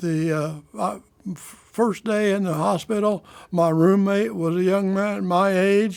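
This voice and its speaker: Pitched high for a man, he speaks with a Midwestern US accent and fairly even intonation. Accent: rural Midwestern American. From Kansas. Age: 90s. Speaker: polio survivor. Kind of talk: oral history testimony. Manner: halting, with false starts.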